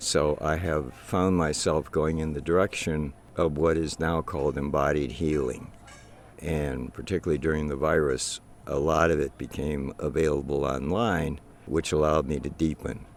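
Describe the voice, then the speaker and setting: This man's very deep, low voice has an American accent. He keeps a moderate pace and fairly even intonation. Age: 80s+. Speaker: war veteran. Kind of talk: interview testimony. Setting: outdoors.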